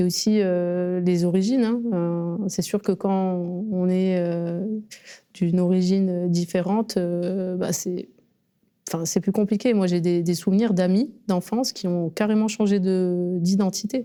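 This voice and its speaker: In a very clean recording with a silent background, a woman speaks very slowly in a dark, mellow tone of medium pitch, with fairly even intonation and very even loudness. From Marseille northern districts, France. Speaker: actor. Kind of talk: interview. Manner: hesitant, many fillers.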